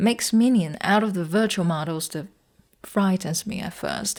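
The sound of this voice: This woman speaks at a medium pitch with ordinary pitch variation and a slightly mellow tone.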